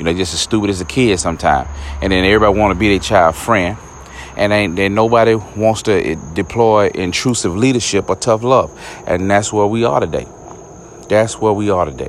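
A man's fairly low, animated voice at a fairly quick pace, with ordinary pitch variation and noticeable background noise. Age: 40s. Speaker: comedian and podcast host. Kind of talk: casual monologue rant.

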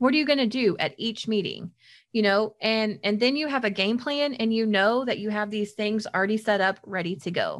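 A woman's plain, everyday voice with an American accent, fairly high in pitch with ordinary variation, at a moderate pace, on a very clean recording with a silent background. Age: 30s. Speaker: youth program specialist, podcast co-host. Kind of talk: casual chat.

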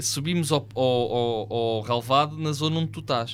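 Speaking at a moderate pace, a man has an unremarkable speaking voice. His intonation is lively. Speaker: podcast host. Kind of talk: casual chat.

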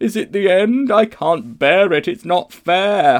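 Putting on a character voice, a man talks at a moderate pace. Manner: wailing, distressed.

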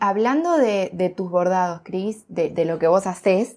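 A woman with a Rioplatense accent and fairly low pitch, on a very clean recording with a silent background. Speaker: podcast host. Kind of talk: interview.

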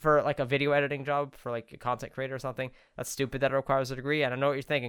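At a very fast pace, a man speaks with a fairly high pitch. The recording is very clean, with a silent background. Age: young. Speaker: podcast co-host. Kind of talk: casual chat.

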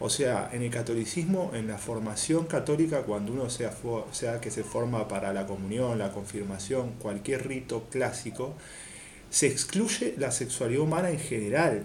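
A man's somewhat breathy voice at medium pitch with ordinary pitch variation, plus audible room echo. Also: moderate pace. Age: 30s. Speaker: podcast panelist. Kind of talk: casual discussion.

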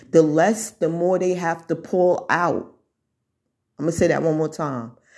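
In a very clean recording with a silent background, a woman talks in an animated tone at a fairly low pitch with ordinary pitch variation. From United States. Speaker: social media commentator. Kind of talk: monologue to camera. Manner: loud.

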